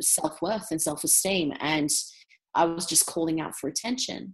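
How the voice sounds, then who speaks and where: Her pitch is fairly low for a woman. She talks in an Australian accent. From Australia, Brisbane. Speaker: entrepreneur. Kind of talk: interview.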